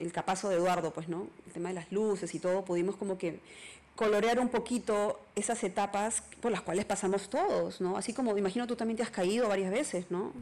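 Speaking with a Peruvian accent, a woman talks at a fairly quick pace and medium pitch with ordinary pitch variation. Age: 40s. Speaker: singer-songwriter. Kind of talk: interview.

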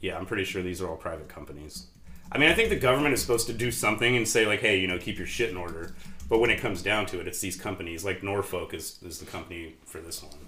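A man with a very deep, low pitch talks at a very fast pace with lively intonation. His loudness swings a lot, and the room echo is audible. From Sacramento area, California. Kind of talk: casual chat.

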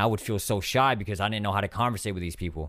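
A man with a Californian accent speaks at a very fast pace in fairly low pitch. The recording is very clean with a silent background, and his pitch variation is ordinary. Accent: Californian American. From US West Coast (San Diego, California). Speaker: gaming YouTuber and streamer. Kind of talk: casual interview. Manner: halting, many fillers and repeats.

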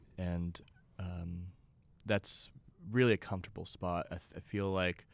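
At a moderate pace, a man talks in a very deep, low pitch over a very clean recording with a silent background. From Texas (Beaumont, near Louisiana border). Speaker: rock guitarist. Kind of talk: casual chat.

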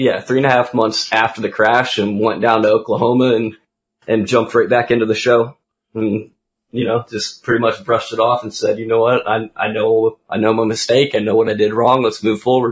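A man talks with an American accent at a medium pitch. His pace is fairly quick. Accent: often mistaken for US Southern. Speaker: pro gamer and ATV freestyler. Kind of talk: casual chat. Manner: animated.

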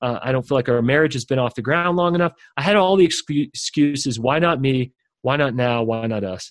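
This man has an ordinary speaking voice at medium pitch, with ordinary pitch variation. He talks at a fairly quick pace, and the sound is dry and close with no echo. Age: young. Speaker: leadership coach and author. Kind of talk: interview.

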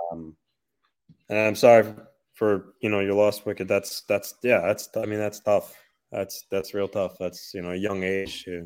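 At a moderate pace, the speaker keeps a monotone, flat intonation on a very clean recording with a silent background. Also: man. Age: 30s. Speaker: hockey podcast co-host. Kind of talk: casual chat. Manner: halting, many fillers.

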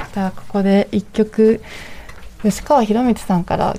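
Speech moves at a fairly slow pace with fairly even intonation. Noticeable background noise runs underneath. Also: woman. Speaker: radio host. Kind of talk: live radio talk show. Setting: radio studio, live broadcast until 4 a.m.

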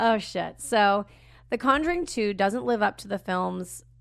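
The background is quiet. A woman speaks in an animated tone at a moderate pace. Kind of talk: casual chat. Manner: loud.

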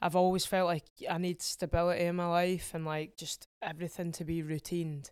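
In an Edinburgh accent, a woman speaks fairly quickly at a fairly low pitch with monotone, flat intonation, on a very clean recording with a silent background and a dry, close sound with no echo. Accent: Scottish (Edinburgh). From Scotland, Edinburgh. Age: 20s. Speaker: singer-songwriter. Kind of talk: casual chat.

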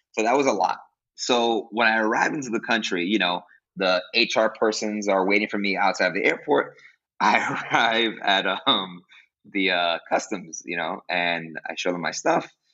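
A man with a New York accent, fairly low in pitch, at a moderate pace with ordinary pitch variation. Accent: New York City. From Brooklyn, New York. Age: 20s. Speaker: music teacher and podcast host. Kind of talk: casual interview.

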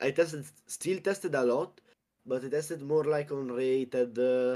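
Speaking at a fairly slow pace in an Italian accent, a man has a dark, mellow tone and ordinary pitch variation. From Italy, Abruzzo. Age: young. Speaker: card game tournament champion. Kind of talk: casual interview.

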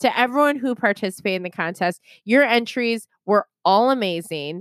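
Loud and animated, a woman with a fairly high pitch swings very widely in pitch, recorded with a dry, close sound with no echo and a very clean, silent background. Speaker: podcast host. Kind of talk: casual chat. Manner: loud, animated.

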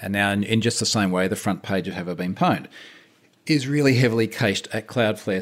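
A very clean recording with a silent background, with an Australian accent. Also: man. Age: 40s. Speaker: security researcher. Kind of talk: casual chat.

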